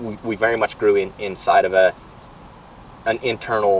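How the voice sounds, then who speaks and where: A man with an American accent over noticeable background noise. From southern Utah, US. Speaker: construction business owner. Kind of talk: interview. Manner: halting, repeats words.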